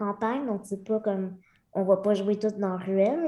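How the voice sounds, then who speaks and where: Speaking at a fairly quick pace, a woman uses a medium pitch with ordinary pitch variation. Hers is a plain, everyday voice. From rural Centre-du-Québec, near Victoriaville. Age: 30s. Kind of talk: casual interview.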